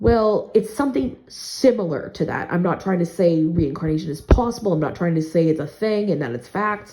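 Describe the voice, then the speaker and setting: A woman talks at a fairly quick pace with hardly any pauses, her fairly low pitch carried by lively intonation. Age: 30s. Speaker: video blogger. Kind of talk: casual rant vlog. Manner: fast; stumbling, repeats words.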